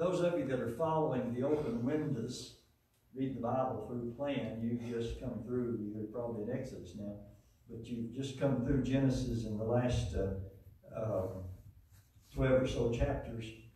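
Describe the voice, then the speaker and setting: A man talks with fairly even intonation amid strong room echo. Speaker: lay preacher. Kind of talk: sermon. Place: church.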